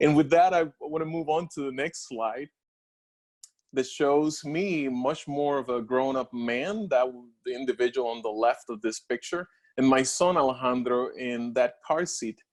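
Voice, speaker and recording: In a Spanish accent, a man speaks at a moderate pace and a fairly high pitch with ordinary pitch variation. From Puerto Rico. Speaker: scientist and doctoral scholar alumnus. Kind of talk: personal story presentation with slides. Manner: halting, with fillers.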